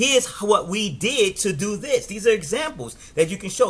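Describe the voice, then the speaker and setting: A man talks at a fairly quick pace in an energetic, animated tone with very wide pitch swings. Background noise is noticeable. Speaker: network marketing coach. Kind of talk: live stream business training. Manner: fast.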